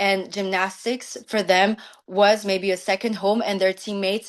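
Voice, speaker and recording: At a moderate pace, a woman talks in a medium pitch with monotone, flat intonation over a quiet background. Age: 20s. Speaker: law student and gymnastics coach. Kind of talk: prepared speech at online event. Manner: halting, many fillers.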